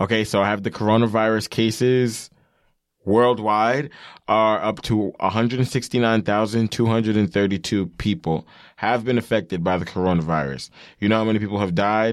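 Someone with a New York accent speaks at a moderate pace with ordinary pitch variation. The recording is very clean, with a silent background. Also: man, fairly low pitch for a man. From New York, Long Island. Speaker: podcast co-host. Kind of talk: casual chat.

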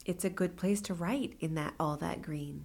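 Woman's voice with a Californian accent, fairly low in pitch, moderate in pace, with ordinary pitch variation. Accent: Californian American. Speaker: poet. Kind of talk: interview.

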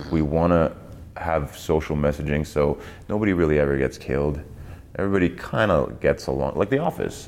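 A man with a German accent talks at a fairly quick pace, very deep and low in pitch with vocal fry and ordinary pitch variation. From East Germany. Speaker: actor. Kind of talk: casual chat. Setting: studio.

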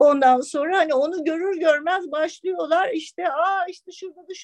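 An extremely high female voice, fairly even in intonation, at a moderate pace, dry and close with no echo. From Istanbul, Turkey. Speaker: restaurant owner. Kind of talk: casual chat.

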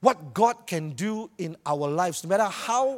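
Speaking with a Malaysian accent, a man uses an animated tone and very wide pitch swings. The sound is dry and close with no echo. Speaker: preacher. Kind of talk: sermon. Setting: church with audience. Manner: animated, humorous.

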